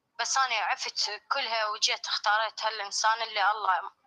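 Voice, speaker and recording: In an Iraqi accent, a woman projects a raised voice with a bright, sharp tone, ordinary pitch variation and a moderate pace. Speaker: caller sharing a personal story. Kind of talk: testimony. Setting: live stream.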